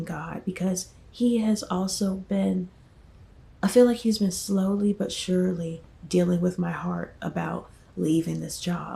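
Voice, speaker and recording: A soft-spoken woman with an American accent talks at a very slow pace. Her voice is somewhat breathy, at a medium pitch. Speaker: vlogger. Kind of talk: casual vlog storytelling. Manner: hesitant, many fillers.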